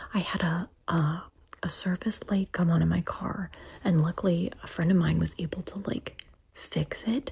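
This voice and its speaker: A soft-spoken woman at a moderate pace. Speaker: vlogger. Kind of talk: casual vlog chat. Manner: soft-spoken, hushed close-mic voice. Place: home room. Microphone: phone near.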